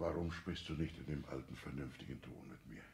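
Putting on a character voice, a man uses extremely low pitch, vocal fry and a slightly mellow tone, with lively intonation at a fairly quick pace.

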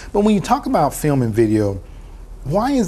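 A man's voice carries a dark, mellow tone and is somewhat breathy. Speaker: TV talk show host. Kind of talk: interview. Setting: studio. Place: studio. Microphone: lapel.

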